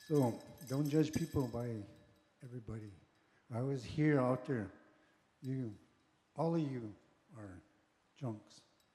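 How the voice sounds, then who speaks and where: A man speaks in a dark, mellow, somewhat breathy tone with ordinary pitch variation. His loudness swings widely, and he leaves long, frequent pauses. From Montana, Blackfeet Reservation. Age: 60s. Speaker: powwow dancer. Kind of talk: interview testimony. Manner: casual, conversational.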